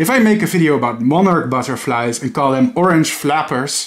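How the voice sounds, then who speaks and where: A man with a non-native accent, fairly high pitch, lively intonation and moderate pace. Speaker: educational YouTuber. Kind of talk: lecture. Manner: formal.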